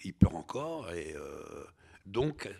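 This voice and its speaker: A man's pitch swings very widely as he talks. The recording is very clean, with a silent background. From Algeria, then France from age ten. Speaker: novelist and filmmaker. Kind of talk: interview conversation. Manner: halting, many hesitations and repetitions.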